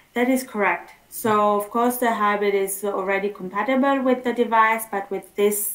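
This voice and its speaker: With noticeable background noise behind her, a woman of medium pitch speaks at a moderate pace, with fairly even intonation and hardly any pauses. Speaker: solar company representative. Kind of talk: webinar presentation. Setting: online webinar.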